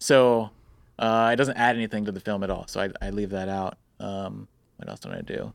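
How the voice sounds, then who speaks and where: Fairly quick speech with fairly even intonation and big swings in loudness, in a very clean recording with a silent background. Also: man, fairly low pitch for a man. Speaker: wedding filmmaker. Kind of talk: casual interview. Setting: studio. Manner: soft-spoken.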